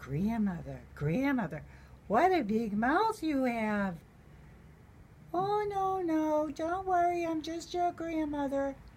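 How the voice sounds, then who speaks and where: Using a put-on character voice, a woman speaks high and fairly slowly in a raised, projected voice, with clear background noise. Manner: sweet, coaxing, storybook.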